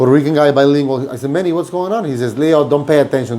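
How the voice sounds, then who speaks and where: Talking at a very fast pace, a man with a Mexican accent has a fairly high pitch and a dark, mellow tone. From Mexico. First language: Spanish. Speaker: restaurant owner and podcast host. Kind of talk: casual interview chat. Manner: animated storytelling.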